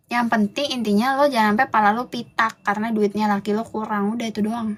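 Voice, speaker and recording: Somewhat breathy and fairly high-pitched, a woman talks at a very fast pace with hardly any pauses. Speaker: livestream host. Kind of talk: casual livestream rant to viewers. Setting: live stream. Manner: animated, scolding.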